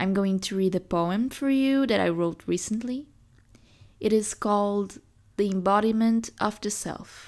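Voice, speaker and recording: A woman with a normal speaking voice talks at a fairly slow pace and a medium pitch, with ordinary pitch variation. The recording is very clean, with a silent background. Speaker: podcast host and poet. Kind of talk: poem reading, performed aloud; reading aloud of a poem, then casual sign-off. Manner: slow, measured, lyrical and contemplative.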